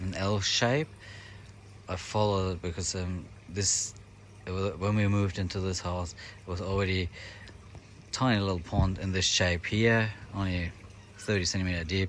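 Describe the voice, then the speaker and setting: Very deep and low in pitch, a man with a German accent speaks at a fairly slow pace with fairly even intonation. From Germany. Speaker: koi hobbyist vlogger. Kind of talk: casual vlog tour. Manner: hesitant, many fillers.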